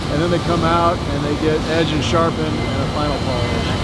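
There is loud background noise. Over it, a man talks at a moderate pace. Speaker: factory tour guide. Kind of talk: tour explanation. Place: factory.

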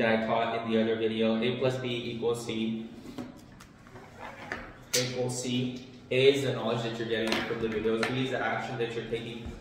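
Amid noticeable background noise and strong room echo, a man speaks in a monotone, flat way at a moderate pace, with long, frequent pauses. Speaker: finance vlogger. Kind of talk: tutorial. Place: home room.

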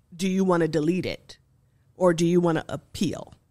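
Against a quiet background, a woman talks at a fairly slow pace in a fairly low pitch with fairly even intonation. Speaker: professor of applied linguistics; podcast guest. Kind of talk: interview. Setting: studio. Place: studio. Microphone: studio mic.

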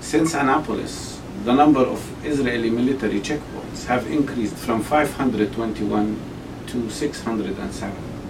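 A man with an Arabic accent speaks at a very slow pace. Noticeable background noise runs underneath. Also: ordinary pitch variation. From Palestine (Jerusalem); Palestine. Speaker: Palestinian politician and medical doctor; Palestinian politician. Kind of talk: interview. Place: office.

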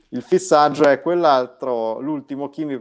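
Behind this man's voice, there is only silence. His pitch rises and falls in an ordinary way. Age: 40s. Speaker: guest. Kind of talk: casual interview. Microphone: video call.

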